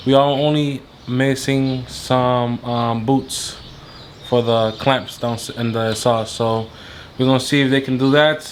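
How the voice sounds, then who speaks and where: A man with a non-native accent and medium pitch, fairly slow and monotone in a flat way, over noticeable background noise. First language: not English. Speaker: car vlogger. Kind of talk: casual vlog.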